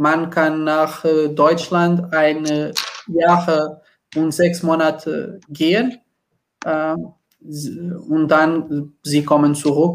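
Speaking very slowly in a Portuguese accent, a man keeps his fairly high pitch and fairly even intonation. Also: very clean recording, silent background. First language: Portuguese (speaking German). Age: 20s. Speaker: supermarket project manager. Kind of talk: casual chat. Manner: halting.

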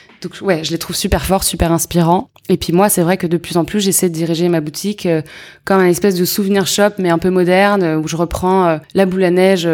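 A woman talks at a fairly quick pace with a fairly low pitch. Her intonation is monotone and flat. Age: 30s. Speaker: entrepreneur, accessories brand founder. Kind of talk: casual interview.

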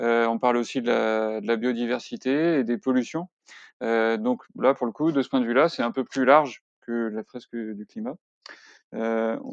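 A man at a fairly slow pace, fairly even intonation, dry, close sound with no echo. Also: medium pitch for a man, quiet background. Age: 40s. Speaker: climate workshop facilitator and web developer. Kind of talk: interview. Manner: halting, many fillers and repetitions.

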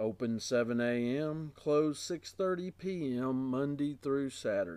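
A man with a plain, everyday voice, pitched fairly high, speaks at a fairly slow pace with lively intonation and hardly any pauses. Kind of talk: 1960s radio grocery ad. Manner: upbeat, salesy, clipped announcer delivery.

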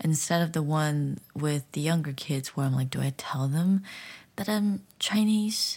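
On a very clean recording with a silent background, the speaker uses an American accent at a moderate pace. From United States. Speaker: podcast host and English teacher. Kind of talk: solo podcast monologue.

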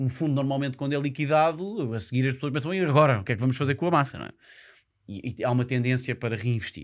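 The recording is very clean with a silent background as a man at a medium pitch talks very fast with ordinary pitch variation. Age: 30s. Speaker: real estate investment professional. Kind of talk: casual interview. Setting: studio.

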